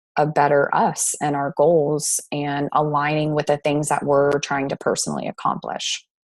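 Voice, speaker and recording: A woman's very deep, low pitch, dry and close with no echo, over a quiet background. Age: 30s. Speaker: network marketing presenter. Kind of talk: presentation on a video call.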